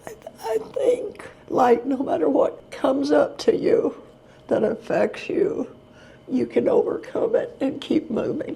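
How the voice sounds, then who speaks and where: At a very slow pace, a woman with a Texan accent speaks at an extremely high pitch with very wide pitch swings. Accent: Texan Southern US. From Texas. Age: 80s+. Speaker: retired special education teacher. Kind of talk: interview answer.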